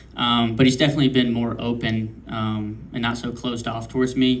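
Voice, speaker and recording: Delivered at a fairly quick pace, the speech has a monotone, flat intonation and audible room echo. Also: man. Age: 20s. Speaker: race car driver. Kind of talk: press conference. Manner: hesitant, many fillers.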